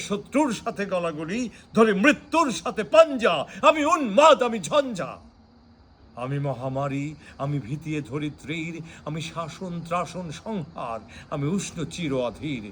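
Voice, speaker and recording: A man's bright, sharp voice swings very widely in pitch and makes big jumps in loudness. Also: very clean recording, silent background. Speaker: lawyer and poetry reciter. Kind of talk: poetry reading. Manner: fiery, declamatory.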